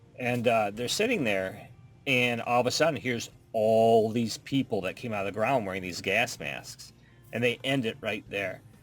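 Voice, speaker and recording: An ordinary speaking voice, this man talks at a moderate pace with medium pitch and ordinary pitch variation. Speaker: podcast co-host. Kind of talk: casual chat.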